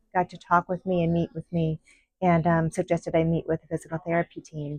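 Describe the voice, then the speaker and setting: Music plays in the background as a woman talks at a fairly quick pace. Her voice is fairly low-pitched, with a dry, close sound and no echo. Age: 60s. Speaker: physical therapy patient. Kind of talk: interview testimony.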